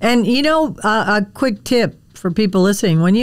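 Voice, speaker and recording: An American accent marks this woman's ordinary speaking voice, which has lively intonation and a moderate pace. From Wisconsin, US Midwest. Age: 60s. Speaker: podcast host, dog trainer. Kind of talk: casual interview chat.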